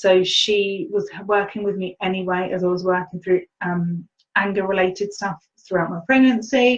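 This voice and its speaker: Using an ordinary speaking voice, a woman talks at a moderate pace at medium pitch with fairly even intonation. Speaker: spiritual teacher and healer. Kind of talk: webinar talk.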